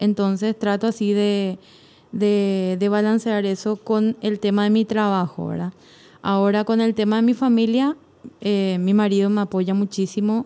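Her tone dark and mellow, a woman speaks at a fairly slow pace with a medium pitch and monotone, flat intonation. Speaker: church choir singer and hairdresser. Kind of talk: casual interview chat.

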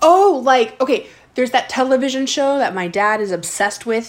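A woman at a moderate pace, an unremarkable speaking voice with lively intonation. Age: 20s. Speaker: podcast host interviewing her grandmother. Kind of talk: casual family chat. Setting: recorded at home with grandmother.

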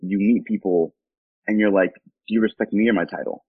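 A man speaks in a normal speaking voice with an American accent, his fairly low pitch and fairly even intonation carried at a moderate pace. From Southern California, Costa Mesa. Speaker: city council member. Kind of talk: interview. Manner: casual.

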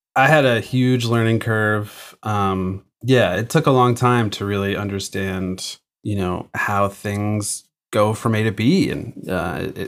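A man with a normal speaking voice, fairly low in pitch and with ordinary pitch variation, is heard in a very clean recording against a silent background. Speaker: recording engineer and drummer. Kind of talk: interview conversation.

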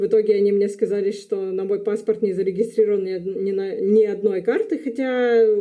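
A woman with a dark, mellow tone talks at a moderate pace with fairly even intonation. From Luhansk, eastern Ukraine. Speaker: graduate student. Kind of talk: casual interview.

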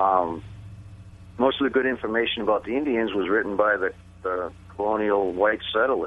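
This man has a normal speaking voice with a fairly low pitch. He talks at a moderate pace, and his intonation is fairly even. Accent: American. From Massachusetts. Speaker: author. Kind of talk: interview.

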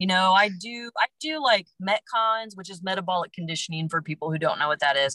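A woman talks fairly quickly with hardly any pauses in a plain, everyday voice of medium pitch, her intonation lively and her loudness swinging widely, in a dry, close sound with no echo. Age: 30s. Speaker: health coach. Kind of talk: casual interview.

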